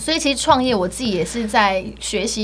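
Noticeable background noise runs under a woman whose moderate pace comes with ordinary pitch variation. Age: 30s. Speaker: e-commerce entrepreneur, former trainee entertainer. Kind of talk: casual interview chat.

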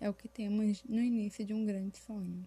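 A woman with a medium pitch speaks in a somewhat breathy, dark, mellow tone with monotone, flat intonation. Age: 20s. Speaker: fashion designer and small business owner. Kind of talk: scripted podcast monologue.

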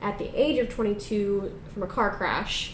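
Noticeable background noise and audible room echo surround a woman whose fairly high voice keeps a fairly even intonation. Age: 20s. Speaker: podcast co-host. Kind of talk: casual chat.

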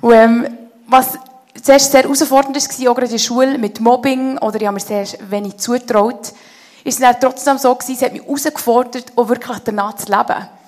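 Noticeable background noise runs behind a woman with a high pitch. She talks at a fairly quick pace with fairly even intonation. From Switzerland, canton of Bern (Konolfingen). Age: 30s. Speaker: head of a theology school, guest speaker. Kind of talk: church interview, personal testimony.

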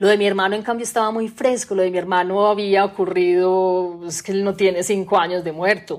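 A woman with a plain, everyday voice speaks at a medium pitch and a fairly quick pace, with fairly even intonation and hardly any pauses. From Colombia, Medellín area. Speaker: novelist. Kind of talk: interview. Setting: remote recording during lockdown.

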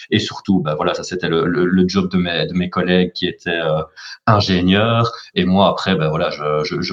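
A man's very deep, low voice at a moderate pace. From Belgium, Charleroi. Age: 30s. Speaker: business club director. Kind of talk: interview.

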